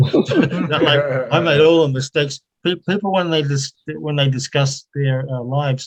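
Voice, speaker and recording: A man talks at a fairly slow pace with hardly any pauses, his pitch fairly high. His voice is somewhat breathy, and his intonation is fairly even. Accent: New Zealand. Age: 70s. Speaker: retired academic with doctorate. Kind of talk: casual online interview.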